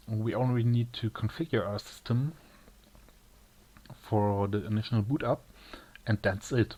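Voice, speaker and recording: A man with a German accent and a dark, mellow tone speaks at a fairly slow pace, somewhat breathy, with long, frequent pauses. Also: medium pitch for a man, ordinary pitch variation. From Germany. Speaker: tech tutorial maker. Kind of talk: tutorial. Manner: halting, with many pauses.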